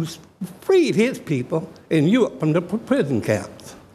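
Audible room echo accompanies a man with an American accent who speaks at a high pitch with very wide pitch swings. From Richmond, Virginia (US South). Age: 70s. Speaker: public commenter at city council. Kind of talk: public comment speech. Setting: council chambers. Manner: animated.

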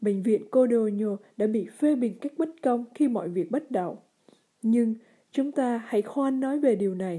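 A woman's fairly high voice with a dark, mellow tone, ordinary pitch variation and a fairly slow pace, over a quiet background. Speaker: letter reader. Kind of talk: reading aloud. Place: studio. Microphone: studio mic.

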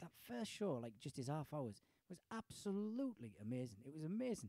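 Here a man with a fairly high pitch and a dark, mellow tone talks at a fairly quick pace, his pitch swinging very widely, in dry, close sound with no echo. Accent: Teesside. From Middlesbrough, northern England. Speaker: stand-up comedian. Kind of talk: casual chat.

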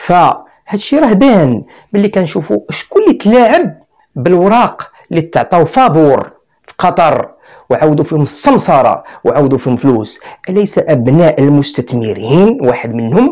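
Against a quiet background, a man with a Moroccan accent speaks at a moderate pace. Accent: Moroccan Arabic (Darija). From Morocco. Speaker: YouTuber commentator. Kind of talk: video monologue. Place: studio. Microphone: lapel.

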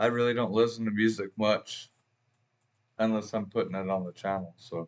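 A man's speech at a moderate pace with fairly even intonation. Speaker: music reaction channel host. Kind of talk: casual vlog chat. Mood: relaxed, friendly. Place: home room.

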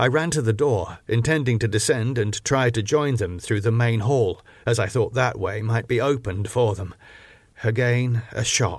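A man speaks at a moderate pace with a dramatic tone, a medium pitch and ordinary pitch variation. His voice is somewhat breathy, and the recording is very clean with a silent background. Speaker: audiobook narrator. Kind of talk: literary audiobook reading, scripted narration of a first-person Victorian gothic diary. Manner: measured, dramatic storytelling pace, formal.

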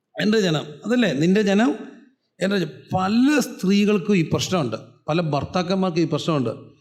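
A man with a high voice speaks with lively intonation, and the room's echo is clearly audible. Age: 40s. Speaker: pastor. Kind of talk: sermon. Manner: animated.

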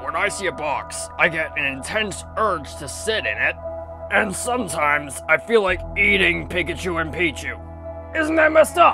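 Loud music plays in the background as a man uses a put-on character voice at a moderate pace. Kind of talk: comic overacting. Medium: fan dub. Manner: nervous, confessional.

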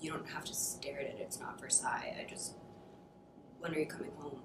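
A woman's whispering at a fairly quick pace. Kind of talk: dramatic scene cold read. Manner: emotional, sarcastic.

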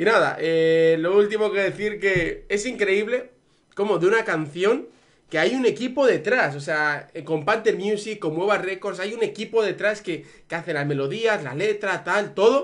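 A man with a high-pitched voice speaks at a fairly slow pace with ordinary pitch variation against a quiet background. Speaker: YouTuber reacting to music. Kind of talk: casual vlog chat. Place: home room. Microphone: earbuds.

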